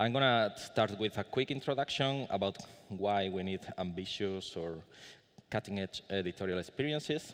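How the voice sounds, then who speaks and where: A man speaks with a Spanish accent and a fairly low pitch. His pace is moderate. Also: ordinary pitch variation. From Spain. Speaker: conference speaker. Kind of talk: conference talk. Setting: conference room with audience. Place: hall. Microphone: podium.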